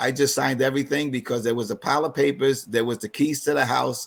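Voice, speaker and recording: Speaking with a New York accent, a man holds a medium pitch and fairly even intonation. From New York City (East Harlem). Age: 60s. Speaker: financial advisor. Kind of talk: online seminar presentation. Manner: halting, many fillers.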